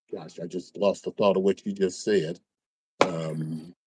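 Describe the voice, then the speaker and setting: In an American accent, a man speaks very slowly at a very deep, low pitch with monotone, flat intonation. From US Midwest (Illinois). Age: 60s. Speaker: podcast guest, musician and racquetball player. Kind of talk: casual chat. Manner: halting, many false starts.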